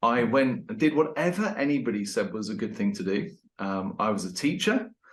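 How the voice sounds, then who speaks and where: With an English accent, a man speaks at a moderate pace in a fairly high pitch, his voice making very wide pitch swings. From England. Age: 50s. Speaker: leadership consultant and author. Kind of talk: interview podcast. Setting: at home with dog.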